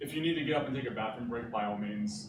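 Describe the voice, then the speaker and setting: A man with a northeastern Pennsylvania accent speaks at a medium pitch amid noticeable background noise and audible room echo. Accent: northeastern Pennsylvania American. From Scranton, northeastern Pennsylvania. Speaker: graphic designer and pixel artist. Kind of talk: presentation. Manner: casual, filler-heavy (uh, like).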